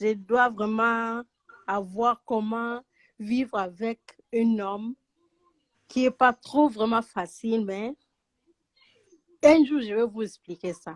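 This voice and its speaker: A woman speaks at a very slow pace with long, frequent pauses and fairly even intonation. Her loudness swings widely, and the sound is dry and close with no echo. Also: fairly high pitch for a woman. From Angola. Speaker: caller. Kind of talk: call-in chat.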